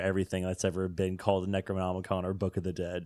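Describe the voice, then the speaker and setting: In a very clean recording with a silent background, a man talks at a fairly quick pace and a fairly low pitch, the sound dry and close with no echo. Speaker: podcast co-host. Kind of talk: casual chat.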